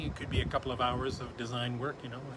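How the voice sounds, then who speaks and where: A man's voice over noticeable background noise. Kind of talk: live stream product showcase. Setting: showroom live stream.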